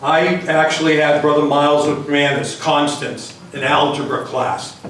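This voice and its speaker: Over noticeable background noise and audible room echo, a man with an American accent talks in a fairly high pitch at a fairly slow pace. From Massachusetts, Greater Boston (Everett). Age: 60s. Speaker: hall of fame inductee. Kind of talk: acceptance speech.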